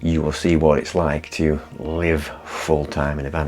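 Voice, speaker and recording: Noticeable background noise accompanies a man with a northern English accent and a very deep, low pitch, talking at a moderate pace. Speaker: vlogger. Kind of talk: casual vlog talk. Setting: inside a parked van. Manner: soft-spoken.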